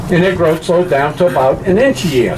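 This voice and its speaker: Noticeable background noise sits behind a man with a high-pitched voice and a Cajun accent. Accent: Cajun Louisiana English. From US South, Louisiana Cajun country (Bayou Lafourche). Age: 60s. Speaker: swamp tour guide. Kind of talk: guided tour talk. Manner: casual, folksy.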